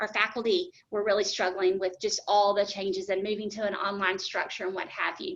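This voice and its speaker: A woman is speaking. Her pitch is medium. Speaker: HR director presenting benefits. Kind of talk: webinar presentation Q&A. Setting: online webinar. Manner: fast; hesitant with many fillers.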